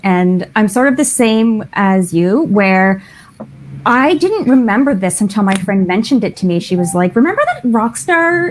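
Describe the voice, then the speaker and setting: A woman with a Canadian accent, a fairly high pitch and very wide pitch swings, over noticeable background noise. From Canada. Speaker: romance author. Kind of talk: casual chat.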